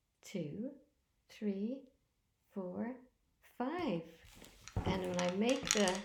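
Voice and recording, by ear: Someone reads text aloud. Their voice is natural.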